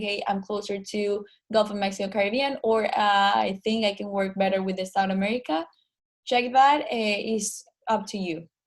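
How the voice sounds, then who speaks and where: A woman talks with a Spanish accent at medium pitch. Her pace is moderate. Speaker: online meeting organizer. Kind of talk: online group meeting. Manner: hesitant, many fillers.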